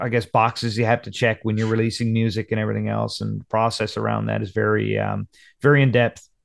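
A man's medium-pitched voice with a Newfoundland accent, flat and monotone, over a quiet background. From Newfoundland, Conception Bay South. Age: 30s. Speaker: country singer. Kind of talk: casual chat. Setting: video call.

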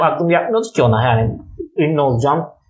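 Male voice at a fairly quick pace with very wide pitch swings, against noticeable background noise. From Istanbul, Turkey. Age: 30s. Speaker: actor. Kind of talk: casual chat. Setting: home living room.

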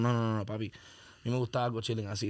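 A man talks in an ordinary speaking voice at medium pitch with fairly even intonation. The recording is very clean with a silent background. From Miami (Hialeah, Broward). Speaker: rapper. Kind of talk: casual chat.

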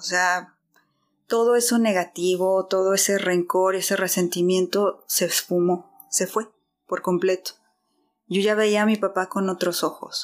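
Monotone, flat intonation at a fairly slow pace. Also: woman, medium pitch for a woman. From Guadalajara, Mexico. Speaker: church member. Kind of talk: testimony.

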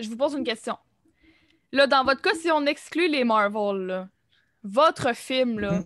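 A woman speaks at a fairly slow pace in a high voice with lively intonation, leaving long, frequent pauses. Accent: Quebec. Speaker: cégep student, podcast host. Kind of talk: casual chat.

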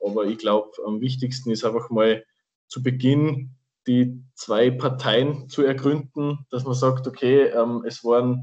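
Speaking fairly slowly with a slight Austrian accent, a man keeps a medium pitch and fairly even intonation. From Austria, Salzburg. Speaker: podcast co-host, Formula 1 fan. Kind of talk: casual chat.

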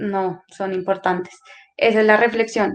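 Her intonation flat and monotone, a woman speaks at a fairly high pitch. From Colombia, Putumayo. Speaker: social worker, youth center coordinator. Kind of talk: interview.

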